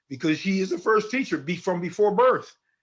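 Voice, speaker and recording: The voice belongs to a man. The background is quiet. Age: 60s. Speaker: author and lecturer on African family. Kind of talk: interview on live talk show. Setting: phone or remote line. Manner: halting, many repetitions.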